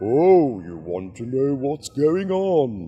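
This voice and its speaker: In a put-on character voice, a man speaks at a very slow pace with very wide pitch swings. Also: medium pitch for a man. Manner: silly, playful.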